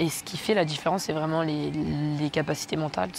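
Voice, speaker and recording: A woman's fairly low voice at a very fast pace, over noticeable background noise. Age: 20s. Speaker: track cyclist. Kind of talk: interview. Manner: hesitant, many fillers.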